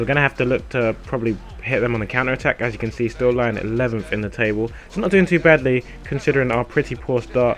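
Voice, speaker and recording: A man's very fast speech with ordinary pitch variation and music in the background. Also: medium pitch for a man. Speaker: gaming youtuber. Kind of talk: gameplay commentary. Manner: casual, hesitant with fillers.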